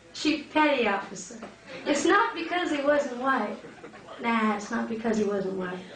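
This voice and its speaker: A woman speaks at a fairly slow pace, her pitch fairly high and her intonation lively. Noticeable background noise runs under her voice. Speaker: spoken word poet. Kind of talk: live spoken word poetry performance.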